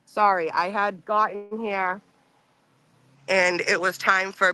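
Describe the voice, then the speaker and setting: A woman's monotone, flat voice with a dry, close sound with no echo and music in the background. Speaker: livestream co-host. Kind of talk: casual chat.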